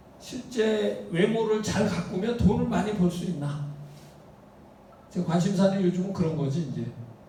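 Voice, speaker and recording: A man with a high voice speaks at a fairly slow pace with ordinary pitch variation, and there is noticeable background noise and audible room echo. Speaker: university professor. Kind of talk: lecture. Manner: casual, rhetorical questions.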